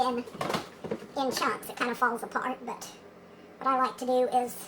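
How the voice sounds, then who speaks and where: Over noticeable background noise, a woman with a high pitch uses a raised, projected voice. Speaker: hippie homesteader. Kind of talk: casual cooking demo to camera.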